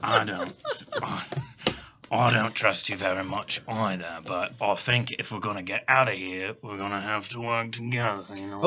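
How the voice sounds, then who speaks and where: A man's raspy, put-on character voice, fairly low in pitch, at a moderate pace. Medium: actual play. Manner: folksy, drawling.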